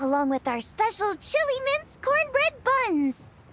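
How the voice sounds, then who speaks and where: A woman puts on a bubbly, upbeat character voice at an extremely high pitch with very wide pitch swings. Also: dry, close sound with no echo. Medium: video game.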